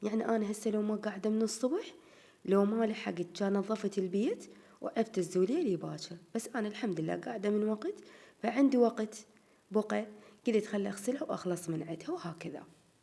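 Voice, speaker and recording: The tone here is dark and mellow. Pitch variation is ordinary, and the pace is moderate. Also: woman, fairly high pitch for a woman. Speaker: home vlogger. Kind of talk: casual vlog chat.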